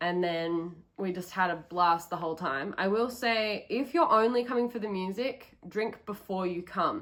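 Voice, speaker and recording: A woman with an Australian accent, medium pitch, ordinary pitch variation, a moderate pace and hardly any pauses. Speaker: travel vlogger. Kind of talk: casual vlog talk to camera. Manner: casual, many um fillers.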